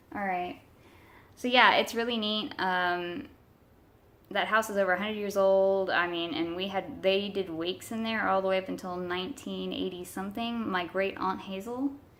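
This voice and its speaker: A woman at a medium pitch, with ordinary pitch variation and a moderate pace. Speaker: paranormal video creator. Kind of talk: casual vlog. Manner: loud; halting, many fillers.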